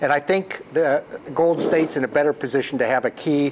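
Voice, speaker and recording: A man talks at a fairly quick pace with fairly even intonation over noticeable background noise. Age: 70s. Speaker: dentist. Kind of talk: casual chat.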